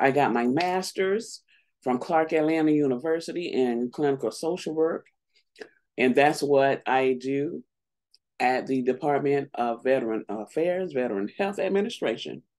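A woman talks at a moderate pace with lively intonation. Her pitch is very deep and low, and the background is quiet. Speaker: vlogger. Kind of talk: casual vlog chat. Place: home room. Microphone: webcam.

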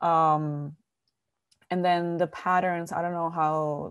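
Over a quiet background, a woman speaks in a very deep, low voice with monotone, flat intonation. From Dominican Republic. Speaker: visual artist; panelist. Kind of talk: panel discussion. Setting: video call. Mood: thoughtful, reflective. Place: home room. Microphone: earbuds.

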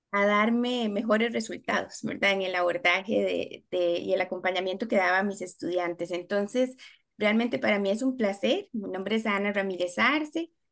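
A woman's medium-pitched voice at a moderate pace, hardly any pauses, quiet background. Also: ordinary pitch variation. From Costa Rica. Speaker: special education teacher and university lecturer; special education teacher, university lecturer. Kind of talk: webinar presentation. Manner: hesitant, many filler sounds. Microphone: video call.

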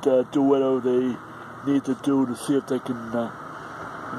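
A man is heard in dry sound with no echo, with noticeable noise in the background. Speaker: vlogger. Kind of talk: casual vlog chat. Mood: frustrated, complaining. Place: street. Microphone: phone near.

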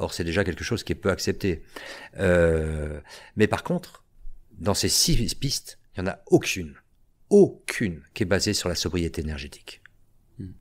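A man speaks with a very deep, low pitch and ordinary pitch variation. His pace is fairly slow, with long, frequent pauses. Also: quiet background. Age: 50s. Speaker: theatre teacher. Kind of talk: casual chat. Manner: halting. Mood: engaged, explanatory. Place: studio. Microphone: studio mic.

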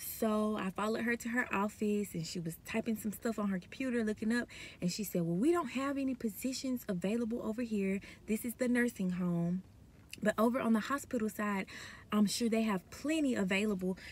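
A somewhat breathy woman talks at a fairly quick pace with ordinary pitch variation, in a dry sound with no echo. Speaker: nursing student vlogger. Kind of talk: casual vlog chat. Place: car. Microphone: phone near.

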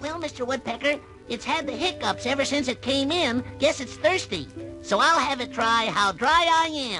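Over clear background music, a man performs a cartoonish character voice at a moderate pace. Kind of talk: cartoon voice acting. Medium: audio drama. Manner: cheerful, folksy.

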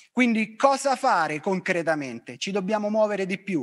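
The man speaks with a high pitch. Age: 50s. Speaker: fitness professional; presenter. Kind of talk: talk; lecture. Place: studio. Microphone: handheld.

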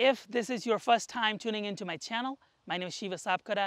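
Against a quiet background, a man talks at a fairly quick pace with ordinary pitch variation in a dry sound with no echo. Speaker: product reviewer. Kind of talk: product review intro. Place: open country.

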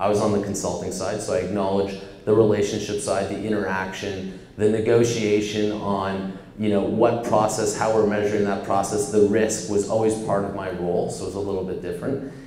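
A fairly low-pitched man with a Canadian accent, fairly quick and monotone with flat intonation and hardly any pauses, amid audible room echo and light background noise. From Canada. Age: 40s. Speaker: startup executive; guest. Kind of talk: onstage interview. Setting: stage with audience. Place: office. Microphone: handheld.

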